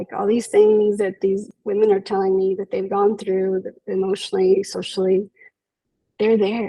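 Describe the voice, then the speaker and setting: Her voice dark and mellow, a woman with a Spanish accent speaks at a medium pitch in a monotone, flat intonation. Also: moderate pace. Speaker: psychologist. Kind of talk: interview.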